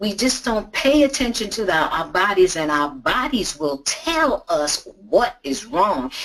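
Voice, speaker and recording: With noticeable noise behind her, a woman speaks fairly slowly at a medium pitch, her pitch swinging very widely. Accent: American. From New York City, Brooklyn. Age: 60s. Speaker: patient advocate. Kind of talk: testimony. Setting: webinar. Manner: animated.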